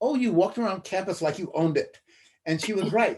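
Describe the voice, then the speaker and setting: His pitch moves through very wide swings. The man speaks with an American accent. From US West Coast (Los Angeles). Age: 80s+. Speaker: retired professor. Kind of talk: casual conversation. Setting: video call.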